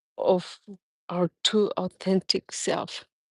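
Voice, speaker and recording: A woman with a non-native accent speaks very slowly at a medium pitch. Her delivery is monotone and flat, and the sound is dry and close with no echo. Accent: non-native, won't go away. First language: Spanish. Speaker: spiritual life coach. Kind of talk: livestream motivational talk. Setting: livestream. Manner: earnest, unscripted.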